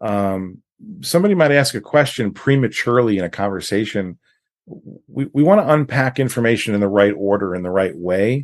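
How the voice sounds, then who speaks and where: With an American accent and an ordinary speaking voice, a man talks at a fairly quick pace in a fairly low pitch with lively intonation against a quiet background. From New York. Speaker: financial advisor. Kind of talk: podcast interview.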